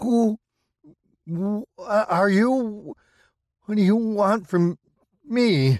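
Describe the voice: A shaky, put-on character voice at a fairly high pitch crawls along at a very slow pace with long, frequent pauses.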